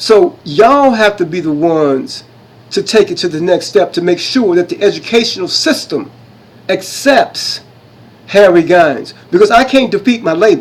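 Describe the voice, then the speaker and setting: Speaking at a moderate pace, a man with a high pitch sounds animated, his intonation lively. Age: 60s. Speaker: self-styled history presenter. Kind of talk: impassioned monologue presentation. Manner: animated, repetitive.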